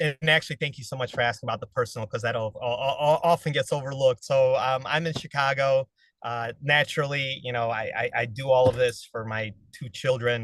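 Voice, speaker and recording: A man at a medium pitch talks in a plain, everyday voice. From Ukraine (Odessa), raised in US from age eight. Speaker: capital raiser in real estate private equity. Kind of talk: interview.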